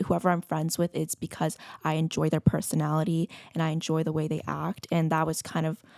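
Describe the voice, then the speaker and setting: A normal speaking voice at a moderate pace. The sound is dry and close, with no echo. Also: woman. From Marin County, California. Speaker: student intern. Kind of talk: casual panel discussion.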